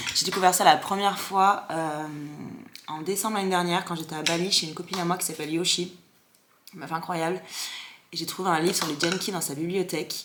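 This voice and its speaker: Over noticeable background noise, a woman with a fairly low pitch talks at a fairly quick pace, broken by long, frequent pauses. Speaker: content creator. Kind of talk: casual vlog chat. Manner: fast; animated.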